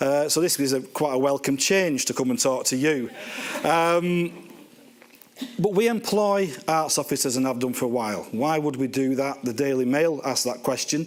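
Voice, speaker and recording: The speaker has a Lancashire accent and ordinary pitch variation at a moderate pace. Loudness stays very even against noticeable background noise. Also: man, fairly high pitch for a man. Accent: Bolton. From northern England, Bolton. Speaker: housing organisation chief executive. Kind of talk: conference talk. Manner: casual, hesitant with fillers.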